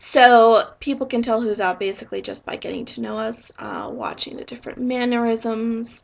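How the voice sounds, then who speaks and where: Speaking at a moderate pace, a woman uses a fairly high pitch and monotone, flat intonation. She makes hardly any pauses, and her loudness swings a lot. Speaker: YouTuber discussing own dissociative identity disorder. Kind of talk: explainer / Q&A monologue. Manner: concise, to the point.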